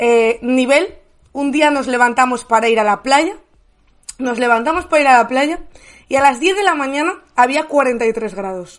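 Against a quiet background, a woman speaks in a high, animated voice. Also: fairly slow pace. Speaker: streaming news show host. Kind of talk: casual chat.

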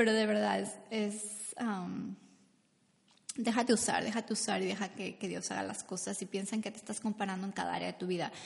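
A woman talks at a fairly quick pace. Her speech is broken by long, frequent pauses. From Mexico. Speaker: podcast host and business coach. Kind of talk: faith-based motivational talk. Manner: animated; halting.

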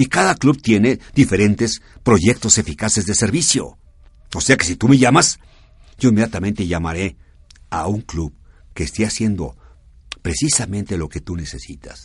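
A man with a fairly low voice speaks at a moderate pace, somewhat breathy, with lively intonation. He leaves long, frequent pauses. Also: quiet background. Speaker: radio host of a service club program. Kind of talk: radio talk show.

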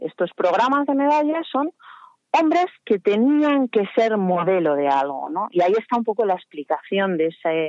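Very wide pitch swings at a fairly slow pace. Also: woman. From Spain, Salamanca. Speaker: art historian and blogger. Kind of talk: expert explanation.

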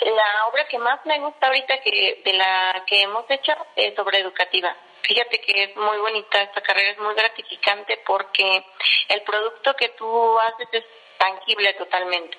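A woman talks at a moderate pace with a fairly high pitch and ordinary pitch variation. Noticeable background noise runs behind her. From Mexico, Estado de México. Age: 30s. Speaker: civil engineer. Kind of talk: interview.

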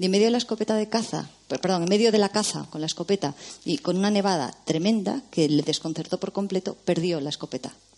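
Lively in intonation, the voice has a dark, mellow tone and races along at a very fast pace. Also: woman. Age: 40s. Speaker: novelist. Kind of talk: casual film discussion.

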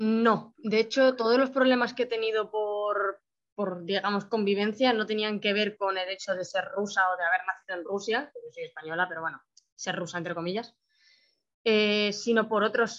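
Here is a plain, everyday voice at a moderate pace. The intonation stays fairly even. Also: woman. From Spain. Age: 20s. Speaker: adoptee, 3D animation student. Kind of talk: interview, personal testimony.

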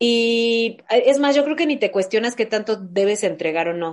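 Speaking with a Mexican accent, a woman uses a fairly high pitch and ordinary pitch variation. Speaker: podcast host. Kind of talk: casual chat.

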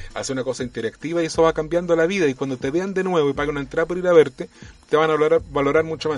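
A man's fairly high voice at a very fast pace, fairly even in intonation, with noticeable background noise. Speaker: actor and puppeteer. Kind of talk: casual chat.

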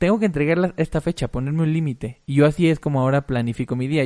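In a Mexican accent, a man talks very fast with a fairly high pitch, the sound dry and close with no echo. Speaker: musician. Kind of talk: casual chat.

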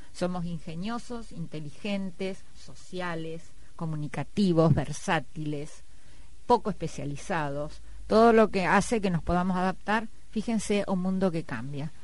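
A woman's fairly low voice at a fairly slow pace, with audible room echo. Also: ordinary pitch variation. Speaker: biology lecturer. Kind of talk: radio interview.

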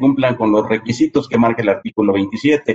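The speaker is a man. He talks with a Mexican accent. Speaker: tax accountant. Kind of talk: interview.

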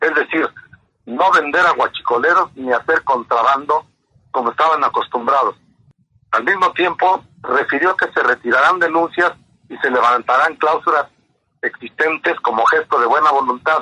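At a moderate pace, a man speaks with a fairly high pitch, a bright, sharp tone and ordinary pitch variation, recorded dry and close with no echo. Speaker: reporter. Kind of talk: news report. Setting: phone call.

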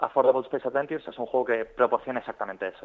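This is a normal speaking voice from a man. His pitch is medium, with ordinary pitch variation. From Spain, Zaragoza (Aragon). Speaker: video game project manager. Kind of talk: interview. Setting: phone call.

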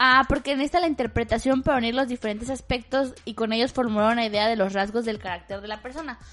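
In a Mexican accent, a woman with a fairly high pitch and ordinary pitch variation talks very fast with hardly any pauses against a quiet background. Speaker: podcast host. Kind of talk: casual chat.

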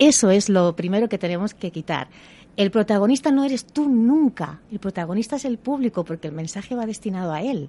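Her tone is dark and mellow, her pitch medium for a woman. She speaks at a moderate pace with lively intonation. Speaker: actress and communication coach. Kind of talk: radio interview.

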